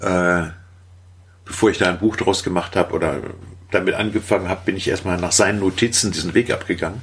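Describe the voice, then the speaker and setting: Somewhat breathy and very deep in pitch, a man speaks at a fairly quick pace with fairly even intonation. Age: 50s. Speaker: caver. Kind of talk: casual chat.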